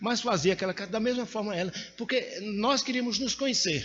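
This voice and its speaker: A man is speaking. His pace is fairly quick. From Brazil, Pernambuco (Caruaru). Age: 60s. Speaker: preacher. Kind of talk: sermon.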